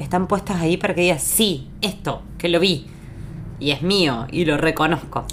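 A woman talks at a fairly slow pace in a fairly low pitch with ordinary pitch variation. Her loudness stays very even while noticeable background noise sits underneath. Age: 40s. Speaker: podcast co-host. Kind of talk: casual chat.

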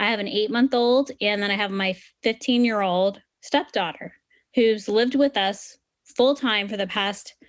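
A woman's fairly high voice, an unremarkable speaking voice, with ordinary pitch variation at a moderate pace. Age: 30s. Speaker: financial podcast host and planner. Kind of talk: educational monologue. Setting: screen-shared online session.

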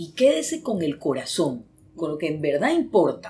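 A woman with vocal fry speaks at a fairly slow pace, her pitch swinging very widely. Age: 60s. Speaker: psychologist. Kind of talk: casual chat.

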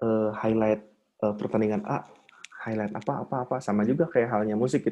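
A plain, everyday voice, fairly quick and fairly even in intonation. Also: man, medium pitch for a man. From Bandung, Indonesia. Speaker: drummer and marketing manager. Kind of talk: casual chat.

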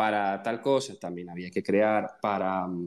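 Very slowly, a man talks at a fairly low pitch with fairly even intonation. The recording is very clean, with a silent background. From Venezuela. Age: 20s. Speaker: software engineer. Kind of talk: casual chat.

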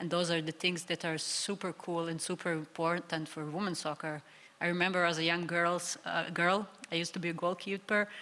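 A woman speaks with a Serbian accent at a fairly low pitch. Her intonation is monotone and flat. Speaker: professional footballer. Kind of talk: live panel discussion. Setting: live stage with audience.

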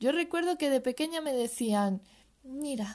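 This is a woman's voice. Her pitch is high. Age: 20s. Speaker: podcaster. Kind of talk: personal monologue.

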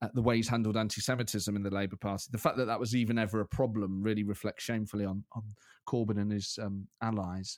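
A man rattles off words at a very fast pace, fairly low in pitch and in a monotone, flat intonation. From Scotland. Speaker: impressionist comedian. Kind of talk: casual chat.

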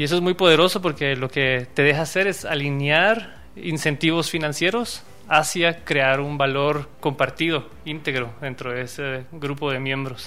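With noticeable background noise, a man speaks fairly slowly in a fairly high pitch with ordinary pitch variation. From Guatemala, Quetzaltenango. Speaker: blockchain entrepreneur. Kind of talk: interview.

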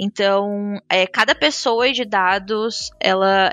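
This is an unremarkable speaking voice with fairly even intonation. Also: woman. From interior of São Paulo state, Brazil. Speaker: business data analyst. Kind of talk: casual panel conversation.

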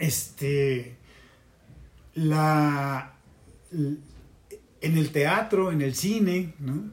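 A somewhat breathy voice at a very slow pace, with long, frequent pauses. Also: man, fairly high pitch for a man, ordinary pitch variation. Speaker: former student activist. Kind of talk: casual interview. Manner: halting.

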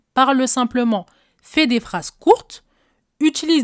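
A woman talks at a fairly slow pace. The recording is very clean with a silent background, and the sound is dry and close with no echo. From French housing estate (cité). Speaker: podcast host, relationship coach. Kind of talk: solo advice podcast.

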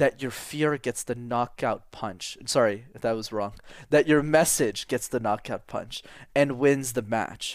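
In a very clean recording with a silent background, a man with a Canadian accent and a normal speaking voice talks at a fairly slow pace, medium pitch, and ordinary pitch variation. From Quebec, Canada. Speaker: public speaking coach. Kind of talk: podcast interview.

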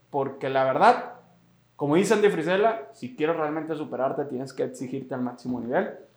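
In a room with audible echo, a man with a fairly high pitch talks at a fairly quick pace with lively intonation. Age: 20s. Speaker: podcast host. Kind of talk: motivational podcast talk. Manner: animated.

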